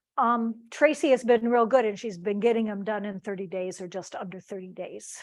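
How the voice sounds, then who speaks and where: At a moderate pace, a woman talks at a fairly high pitch in a normal speaking voice. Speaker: Medicaid paralegal presenter. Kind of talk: webinar Q&A. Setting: video call.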